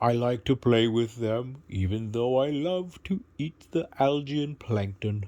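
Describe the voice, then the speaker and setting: Using a put-on character voice at a medium pitch, a man talks at a fairly slow pace with hardly any pauses. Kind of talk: bedtime story. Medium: read story. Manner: warm, friendly, gentle.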